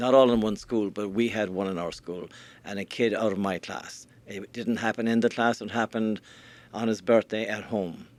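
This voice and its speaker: Delivered at a moderate pace, the speech comes in an Irish accent with monotone, flat intonation. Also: man, fairly low pitch for a man. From Ireland. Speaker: learning scientist. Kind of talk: podcast interview. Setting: live stream.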